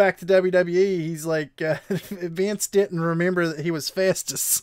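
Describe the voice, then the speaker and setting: On a very clean recording with a silent background, a man with a Southern West Virginia accent speaks at a fairly slow pace, his high pitch showing ordinary variation and the sound dry and close with no echo. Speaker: streamer. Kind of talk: casual chat.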